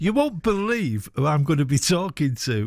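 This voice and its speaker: A man with a Mancunian accent speaks at a fairly quick pace in an enthusiastic tone. His pitch is fairly high, and the sound is dry with no echo. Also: quiet background. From northern England. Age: 60s. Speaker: radio host. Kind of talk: radio show. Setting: studio. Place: studio.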